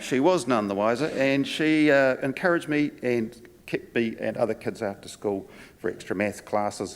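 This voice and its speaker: A man with a New Zealand accent at a medium pitch, lively intonation and a moderate pace. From New Zealand, Palmerston North and Wellington. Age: 60s. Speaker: conference speaker, former physiotherapist and wine tour guide. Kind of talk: conference talk.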